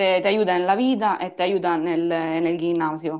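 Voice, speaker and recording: A woman speaks with an Italian accent. Her intonation stays fairly even. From Sicily, Ragusa. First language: Italian (speaking Spanish). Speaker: judoka and musician. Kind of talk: casual interview. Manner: halting, mixing Italian.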